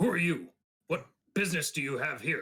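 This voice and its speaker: In a put-on character voice, a man speaks at a fairly quick pace, raspy and high-pitched. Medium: actual play. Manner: clipped, broken grammar.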